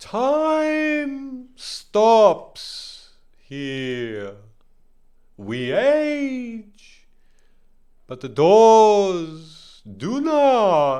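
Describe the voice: Speaking very slowly, a man uses a put-on character voice that is high-pitched and slightly mellow, with very wide pitch swings.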